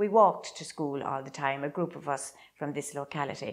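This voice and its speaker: The speaker has an Irish Midlands accent and ordinary pitch variation. The pace is fairly slow. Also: woman. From Ireland, County Laois. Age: 70s. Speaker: traditional Irish dancer. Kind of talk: interview. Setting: old house.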